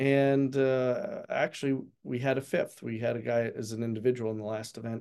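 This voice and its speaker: A man with an American accent, medium pitch, a dark, mellow tone, monotone, flat intonation and a moderate pace. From Pennsylvania. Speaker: college golf coach. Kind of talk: interview.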